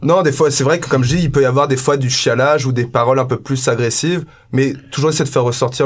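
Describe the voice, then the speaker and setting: Someone speaks at a very fast pace with fairly even intonation and a somewhat breathy voice. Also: man. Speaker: band member musician.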